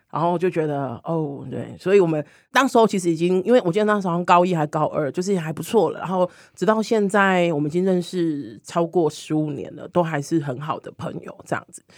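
At a fairly quick pace, a woman with a fairly low pitch and ordinary pitch variation speaks in a plain, everyday voice that shows big swings in loudness. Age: 40s. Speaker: LGBT hotline community director and body-positivity activist. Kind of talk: casual chat.

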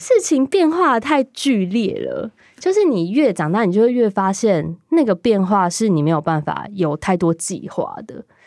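A woman with a fairly high pitch speaks at a fairly slow pace with hardly any pauses and very wide pitch swings. The recording is very clean with a silent background, and the sound is dry and close with no echo. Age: 30s. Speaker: clothing designer. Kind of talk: casual chat.

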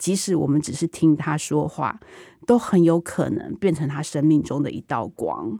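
At a moderate pace, a woman with a dark, mellow tone speaks in a very clean recording with a silent background. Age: 40s. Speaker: TV drama director. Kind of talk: interview.

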